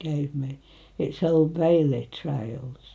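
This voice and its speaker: Somewhat breathy, a woman with a Nottinghamshire accent speaks with ordinary pitch variation. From northern England, Retford, Nottinghamshire. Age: 90s. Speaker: elderly local resident. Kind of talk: casual reminiscing interview.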